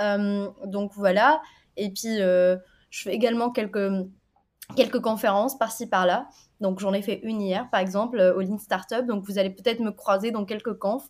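With an unremarkable speaking voice, a woman talks fairly slowly at a medium pitch, her intonation fairly even. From Tunisia. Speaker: software quality assurance lead. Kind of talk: interview.

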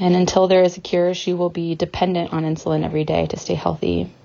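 A woman speaks at a fairly quick pace with an American accent. Noticeable background noise runs under her voice. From US South. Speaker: listener voicemail caller. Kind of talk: voicemail message. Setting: phone voicemail.

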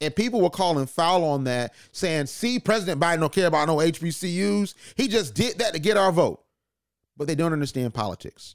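In a very clean recording with a silent background, the speaker sounds animated, moving at a fairly quick pace with lively intonation. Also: man. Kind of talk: radio dj patter, energetic podcast intro. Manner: animated, punchy, rallying.

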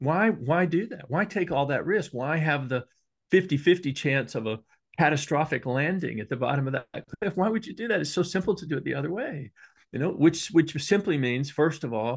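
With an ordinary speaking voice, a man talks at a moderate pace and with lively intonation over a quiet background. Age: 60s. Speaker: executive coach and speaker. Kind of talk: casual interview conversation.

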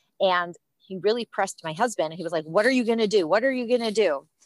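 Speaking at a very fast pace with a Midwestern American accent, a woman shows ordinary pitch variation in a dry, close sound with no echo. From US Midwest (Cleveland, Ohio). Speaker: educator and writer, rabbi's wife. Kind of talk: casual interview chat.

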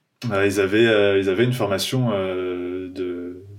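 The room echo is audible as a man talks at a fairly low pitch with fairly even intonation. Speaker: podcast host. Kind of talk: casual interview chat.

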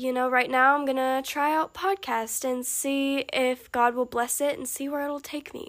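Fairly slowly and with fairly even intonation, a woman with an Alabama accent speaks at a high pitch. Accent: Southern US (Alabama). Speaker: podcast host. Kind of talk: personal testimony. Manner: casual, halting.

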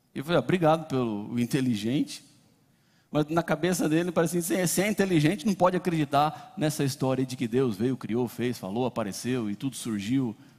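A plain, everyday voice moves at a fairly quick pace. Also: man, fairly high pitch for a man, lively intonation. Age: 40s. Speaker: pastor. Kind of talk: sermon. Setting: church.

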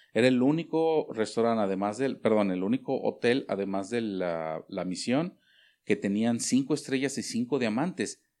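A man with a mid-range pitch talks at a medium speed, his intonation lively. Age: 50s. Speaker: chef. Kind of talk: interview. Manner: halting, many fillers.

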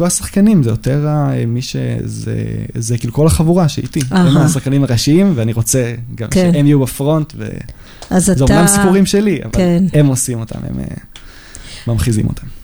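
Against noticeable background noise, a man speaks at a moderate pace with lively intonation and long, frequent pauses. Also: fairly high pitch for a man. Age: 20s. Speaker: songwriter and musician, interview guest. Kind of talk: casual conversational Hebrew. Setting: radio studio. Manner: halting speech, often hesitates and repeats words.

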